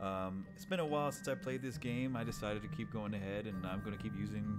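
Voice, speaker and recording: A man's fairly low voice at a very fast pace, lively in intonation, over music in the background. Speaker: war veteran. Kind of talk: casual talk to camera.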